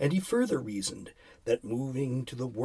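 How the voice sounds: Lively intonation in a natural reading voice.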